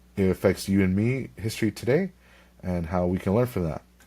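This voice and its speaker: A man talks in an American accent at a very deep, low pitch with ordinary pitch variation. The recording is very clean, with a silent background. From California, Ventura County. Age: 20s. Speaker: history podcaster and graduate student. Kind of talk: podcast monologue. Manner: casual, with frequent fillers.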